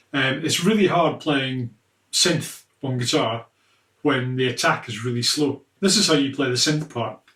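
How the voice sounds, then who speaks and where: In a Scottish accent, a man speaks at a moderate pace with a bright, sharp tone and ordinary pitch variation. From Scotland. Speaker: guitarist and guitar teacher. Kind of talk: tutorial. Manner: casual.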